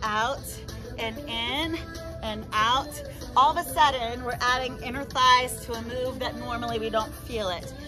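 Clear music sounds in the background as a woman speaks at a very slow pace. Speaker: fitness instructor. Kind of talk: workout instruction with counting. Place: garden.

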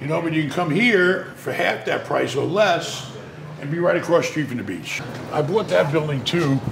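This man talks with a high pitch, moderate pace and ordinary pitch variation while noticeable background noise carries on around him. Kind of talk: casual tour talk and interview answer. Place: hall.

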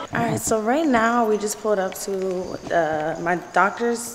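This woman talks while noticeable background noise carries on around her. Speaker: vlogger. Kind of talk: casual vlog chat.

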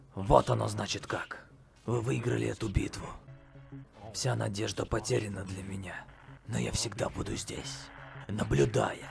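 A man uses a put-on character voice that is raspy and very deep, with a menacing tone, at a moderate pace. He pauses long and often, with clear music in the background.

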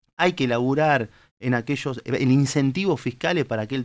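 A man talks fairly quickly at a medium pitch, with ordinary pitch variation. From Argentina, Tandil; Argentina. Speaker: politician, candidate. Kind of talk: political interview on live talk show. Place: studio. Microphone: studio mic.

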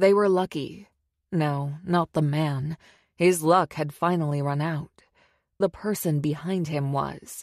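A woman with an unremarkable speaking voice, fairly low-pitched with ordinary variation, at a fairly slow pace, dry and close with no echo, over a quiet background. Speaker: audiobook narrator. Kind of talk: audiobook narration, thriller.

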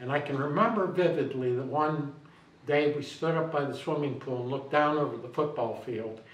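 A man with an American accent speaks at a fairly quick pace and a fairly high pitch, with ordinary pitch variation. Audible room echo surrounds his voice. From Ohio, US Midwest. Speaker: mayor. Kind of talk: interview. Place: empty room.

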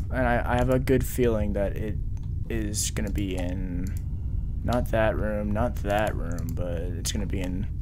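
A man talks at a fairly slow pace. Noticeable background noise sits behind him. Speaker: gamer streamer. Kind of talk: casual gaming commentary. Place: home room. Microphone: headset.

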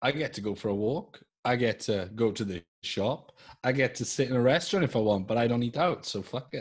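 A man at a fairly quick pace with ordinary pitch variation over a quiet background. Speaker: podcast co-host. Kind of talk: casual conversation. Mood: relaxed, joking. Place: home room. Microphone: video call.

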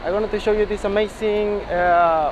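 A man talks at a moderate pace with a high pitch and fairly even intonation. Background noise is clearly audible.

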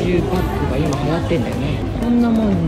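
Over background music, a woman speaks at a fairly quick pace. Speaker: vlogger housewife. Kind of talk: casual vlog chat. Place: shop. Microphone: phone near.

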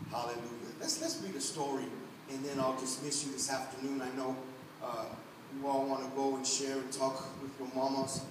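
A man talks at a fairly quick pace with medium pitch, monotone, flat intonation, and long, frequent pauses. Noticeable background noise and audible room echo are present. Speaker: pastor. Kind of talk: Sunday church sermon, conversational and exhorting, with congregational call-and-response. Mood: warm, encouraging, emotive. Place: church. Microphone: camera far.

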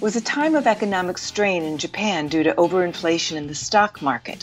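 A woman with fairly low pitch, music in the background. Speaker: voice actor. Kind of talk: documentary narration.

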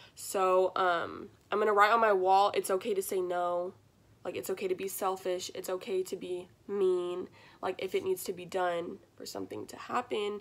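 A woman at a medium pitch speaks in a flat monotone, her loudness swinging widely. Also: moderate pace. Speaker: student. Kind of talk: personal reflection video. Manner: hesitant, many fillers.

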